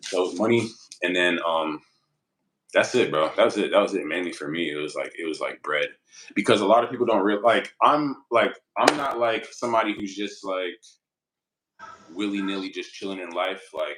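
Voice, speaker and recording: A man speaks at a moderate pace with long, frequent pauses. His pitch is fairly low, with ordinary variation. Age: 20s. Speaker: small business owner and YouTuber. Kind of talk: casual interview chat. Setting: in Thailand. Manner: halting, filler-heavy.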